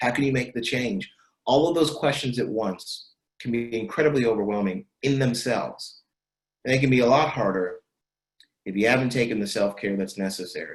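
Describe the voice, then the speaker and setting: A man talks at a fairly quick pace with a medium pitch. His voice is somewhat breathy, with ordinary pitch variation. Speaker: leadership facilitator. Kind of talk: virtual workshop talk.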